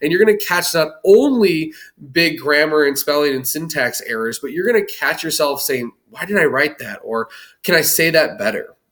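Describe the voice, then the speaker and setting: Pitched rather high, a man's voice moves with lively intonation. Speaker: teacher. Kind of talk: recorded lesson for students. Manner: fast; casual, conversational.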